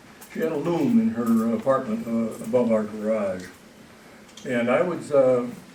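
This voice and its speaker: A man at a medium pitch and moderate pace with ordinary pitch variation, plus audible room echo and noticeable background noise. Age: 70s. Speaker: author. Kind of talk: public talk. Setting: stage with audience. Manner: halting.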